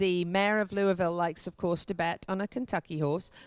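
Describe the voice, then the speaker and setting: The voice has an English accent and fairly even intonation. The recording is very clean, with a silent background. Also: woman. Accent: non-rhotic English, doesn't roll R's. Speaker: equestrian show host. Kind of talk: on-location news report. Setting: hotel, on location.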